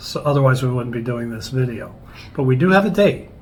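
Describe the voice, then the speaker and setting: A man talks at a fairly quick pace with a medium pitch. Audible room echo surrounds his voice. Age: 60s. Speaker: travel vlogger. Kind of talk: casual chat.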